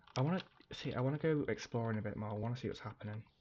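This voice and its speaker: A man with a British accent, medium pitch, ordinary pitch variation and a fairly quick pace. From UK. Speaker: game streamer. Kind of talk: livestream gameplay commentary. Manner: casual, rambling with fillers.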